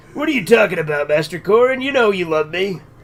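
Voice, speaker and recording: A man's put-on character voice, high-pitched and very fast. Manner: cheeky, affectionate.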